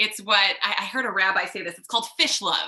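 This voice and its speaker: This is a woman speaking with a Long Island accent. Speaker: rabbi. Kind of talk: sermon. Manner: halting, many fillers.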